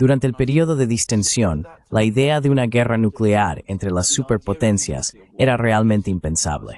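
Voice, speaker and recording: At a moderate pace, a man talks with lively intonation at a medium pitch in an ordinary speaking voice. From Greece. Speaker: political commentator. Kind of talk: interview. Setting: video call.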